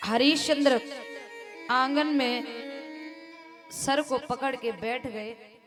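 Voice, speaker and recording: Over music in the background, a woman with a high pitch and ordinary pitch variation speaks with long, frequent pauses. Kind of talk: devotional storytelling (katha) narration.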